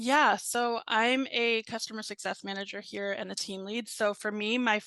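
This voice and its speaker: An unremarkable speaking voice from a woman, fairly high in pitch and fairly even in intonation, with an American accent over a quiet background. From Virginia, US. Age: 30s. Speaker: customer success team lead. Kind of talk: casual interview.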